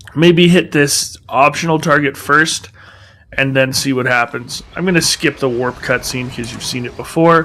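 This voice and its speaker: A man's fairly high voice at a moderate pace, with fairly even intonation and noticeable background noise. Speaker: gaming video host. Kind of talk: gameplay commentary. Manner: hesitant, many fillers; casual.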